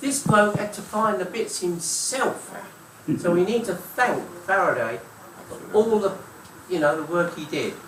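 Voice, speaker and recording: In a London accent, a man with a high pitch talks at a fairly slow pace with lively intonation and long, frequent pauses, amid audible room echo and noticeable background noise. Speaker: audience member. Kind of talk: question and answer.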